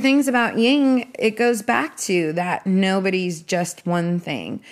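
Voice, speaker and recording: A woman uses a plain, everyday voice with lively intonation, at a fairly slow pace with hardly any pauses. The recording is very clean, with a silent background. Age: 40s. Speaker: music executive and podcast host. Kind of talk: casual interview. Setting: guest's home.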